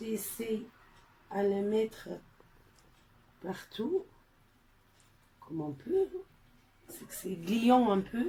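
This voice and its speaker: A woman with a non-native accent and a fairly high, somewhat breathy voice, very wide pitch swings, big swings in loudness, a very slow pace and long, frequent pauses. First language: not French (speaking French). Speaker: gardening video maker. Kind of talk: tutorial. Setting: at home by a small greenhouse. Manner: halting, many hesitations.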